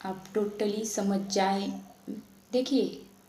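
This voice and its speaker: A woman with a Marathi accent speaks at a medium pitch in a monotone, flat intonation, with noticeable background noise and audible room echo. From Maharashtra, India. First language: Marathi (speaking Hindi). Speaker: tarot reader. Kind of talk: spiritual talk to viewers.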